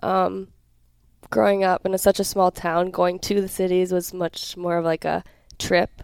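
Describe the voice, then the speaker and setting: In a fairly low pitch, a woman with an Upper Midwest accent speaks with fairly even intonation on a very clean recording with a silent background. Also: moderate pace, dry, close sound with no echo. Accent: Upper Midwest (Minnesota). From southern Minnesota (Hayfield, near Rochester). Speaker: college volleyball player. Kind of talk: interview.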